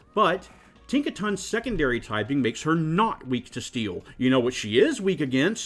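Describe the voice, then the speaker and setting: With music in the background, the speech moves at a moderate pace and has very wide pitch swings. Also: man, fairly high pitch for a man. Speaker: card game player. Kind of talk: casual rant to camera. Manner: crotchety.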